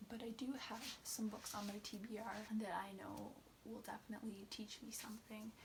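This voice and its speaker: Soft-spoken and monotone, a woman speaks at a moderate pace with flat intonation. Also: fairly high pitch for a woman. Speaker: booktuber. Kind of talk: casual book review vlog.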